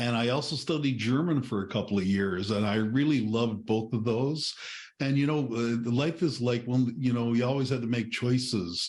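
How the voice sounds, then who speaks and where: Amid audible room echo, a man of medium pitch speaks at a moderate pace with very even loudness and ordinary pitch variation. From Newfoundland, Canada. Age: 60s. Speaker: author and retired librarian. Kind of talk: podcast interview.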